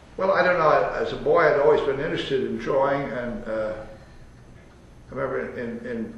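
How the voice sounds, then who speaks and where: A man at a fairly quick pace with long, frequent pauses, over noticeable background noise. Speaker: architect. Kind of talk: interview answer. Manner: hesitant, rambling.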